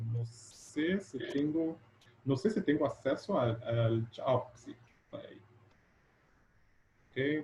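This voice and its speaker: A man's fairly high, somewhat breathy voice with a dark, mellow tone and lively intonation, at a very slow pace with long, frequent pauses. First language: Portuguese (speaking Spanish). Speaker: educational technology researcher. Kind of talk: lecture. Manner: halting.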